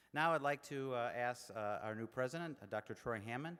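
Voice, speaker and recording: Speaking at a fairly quick pace with an American accent, a man uses a medium pitch with ordinary pitch variation. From Naperville, Illinois. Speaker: college administrator, master of ceremonies. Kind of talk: ceremony speech. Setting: stage with audience. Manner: hesitant, many fillers.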